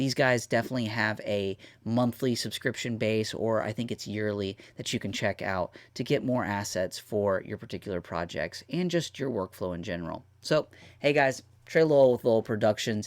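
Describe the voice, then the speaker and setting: A medium-pitched male voice with ordinary pitch variation in a very clean recording with a silent background. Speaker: YouTube video editor reviewing plugins. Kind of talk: tutorial walkthrough. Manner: casual, energetic; fast.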